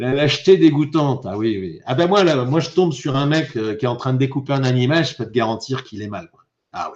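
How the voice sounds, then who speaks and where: Fairly quick speech from a man at medium pitch, with lively intonation and big swings in loudness. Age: 60s. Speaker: YouTuber live streamer. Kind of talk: live stream chat reading comments. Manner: animated; halting, repetitive.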